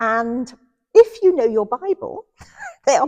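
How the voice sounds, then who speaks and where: A woman's high-pitched voice with a dark, mellow tone, very wide pitch swings and a moderate pace, in dry, close sound with no echo. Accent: Lancashire. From southwest Lancashire, England. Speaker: theatre nurse and trainee priest. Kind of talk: casual interview. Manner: energetic.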